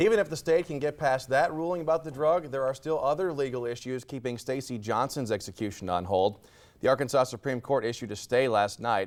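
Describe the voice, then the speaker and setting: Here is a man with a medium pitch and lively intonation. He has an unremarkable speaking voice. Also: fairly quick pace, very clean recording, silent background. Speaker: TV news anchor and reporter. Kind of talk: TV morning news anchor delivery.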